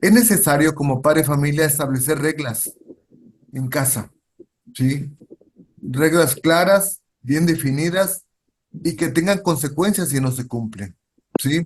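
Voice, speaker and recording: A man's somewhat breathy voice at a fairly slow pace, broken by long, frequent pauses. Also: fairly high pitch for a man, ordinary pitch variation. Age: 60s. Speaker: social worker. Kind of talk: lecture. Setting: video call. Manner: halting.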